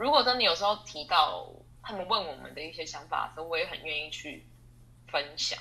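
Against noticeable background noise, a woman with a fairly low pitch talks at a fairly quick pace, with very wide pitch swings and big swings in loudness. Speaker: export sales manager. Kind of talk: testimony interview. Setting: online interview. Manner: hesitant with many fillers.

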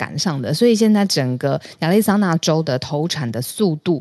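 With a Taiwanese accent, the voice has a dark, mellow tone and very wide pitch swings. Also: woman. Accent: Taiwanese Mandarin. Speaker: news podcast co-host. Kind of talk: casual news discussion.

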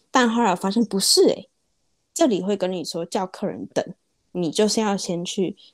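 At a moderate pace and medium pitch, a woman uses a normal speaking voice with lively intonation. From Taiwan. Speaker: small business owner. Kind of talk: interview. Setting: remote call.

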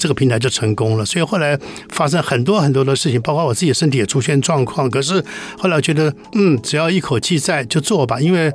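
Amid noticeable background noise, a man speaks very fast at a fairly high pitch, with lively intonation and very even loudness. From Taiwan, Changhua (Beidou). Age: 70s. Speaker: TV producer and author. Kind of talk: interview. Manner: halting, many fillers.

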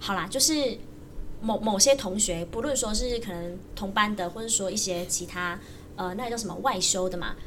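Over noticeable background noise and audible room echo, a woman speaks at a moderate pace with a medium pitch and ordinary pitch variation. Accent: Taiwanese. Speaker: university student and jump rope coach. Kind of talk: casual chat.

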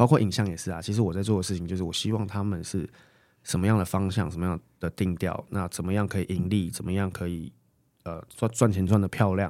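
Very deep and low, this man's voice has a dark, mellow tone. He speaks at a fairly quick pace. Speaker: interior designer. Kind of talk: casual chat.

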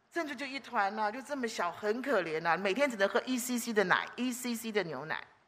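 A woman's fairly high, bright and sharp voice, animated and fairly quick, with lively intonation, big swings in loudness and audible room echo. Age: 60s. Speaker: preacher. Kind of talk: sermon. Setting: church.

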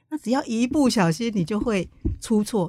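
This woman's voice has a dark, mellow tone, somewhat breathy, with lively intonation at a fairly quick pace. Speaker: independent journalist. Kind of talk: interview. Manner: gentle, soft tone.

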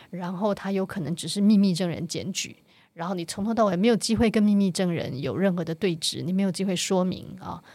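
Here a woman with a normal speaking voice talks at a fairly quick pace, medium in pitch and fairly even in intonation. The recording is very clean and the background silent. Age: 50s. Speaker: author and activist. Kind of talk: interview.

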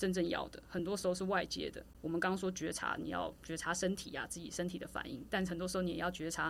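Talking very fast at medium pitch, a woman shows vocal fry and big swings in loudness. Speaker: podcast host, marketing and sports psychology adviser. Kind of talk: casual chat.

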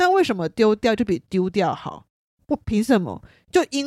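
Recorded very cleanly with a silent background and a dry, close sound with no echo, a woman with a slight Taiwanese accent speaks at a fairly slow pace, her pitch swinging very widely. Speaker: podcast host, sociology student. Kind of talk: casual monologue.

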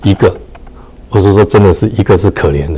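A man is speaking here. His pace is very fast. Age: 60s. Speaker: real estate association chairman. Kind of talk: casual chat. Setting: livestream.

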